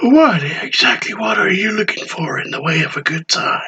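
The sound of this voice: A soft-spoken man in a put-on character voice, high-pitched and at a moderate pace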